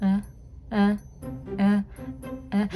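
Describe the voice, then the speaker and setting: Noticeable background noise runs through the clip. Over it, a woman talks with an American accent. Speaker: haunt actor and vlogger. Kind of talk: casual vlog narration. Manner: fast.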